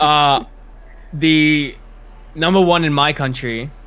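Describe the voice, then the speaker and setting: A man's fairly high voice with an Australian accent, very slow in pace, with ordinary pitch variation. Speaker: competitive gamer. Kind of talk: casual chat.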